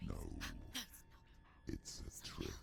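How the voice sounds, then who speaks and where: The speaker whispers in a put-on character voice. Clear background noise can be heard. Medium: video game. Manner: scornful, commanding.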